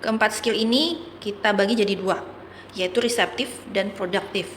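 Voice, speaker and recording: This woman talks at a fairly slow pace, fairly high in pitch with ordinary variation. Noticeable background noise is present throughout. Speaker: English and Mandarin tutor. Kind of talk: educational tutorial talk.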